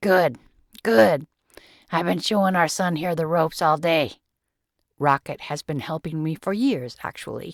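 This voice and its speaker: In a put-on character voice, a woman speaks at a moderate pace with a warm, raspy tone and a fairly low pitch, leaving long, frequent pauses on a very clean recording with a silent background. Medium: read story. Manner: warm, good-humored.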